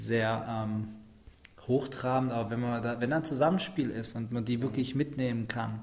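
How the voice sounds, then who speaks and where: Medium-pitched male speech, fairly slow and fairly even in intonation, with audible room echo. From Schwäbisch Hall, Swabia, Germany. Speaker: slam and stage performer. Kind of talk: casual interview.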